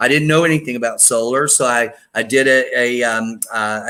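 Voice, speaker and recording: The man's tone is bright and sharp. His pitch varies in an ordinary way. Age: 60s. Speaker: solar energy broker. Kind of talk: interview. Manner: halting.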